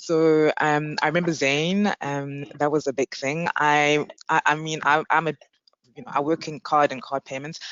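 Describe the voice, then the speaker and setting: A woman with a very deep, low voice and a South African accent speaks at a moderate pace, her intonation fairly even but her loudness swinging widely. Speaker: payments executive, panelist. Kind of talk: panel discussion.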